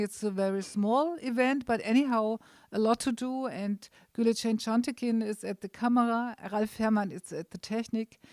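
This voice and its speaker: A woman with a German accent speaks at a moderate pace in a fairly high voice, her intonation fairly even, on a very clean recording with a silent background and a dry, close sound free of echo. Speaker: event organizer and host. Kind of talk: welcome speech at art opening. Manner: halting.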